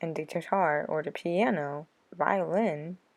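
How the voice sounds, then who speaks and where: Dark and mellow in tone, a woman speaks at a very slow pace. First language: American Sign Language. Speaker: vlogger. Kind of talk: casual vlog talk to viewers.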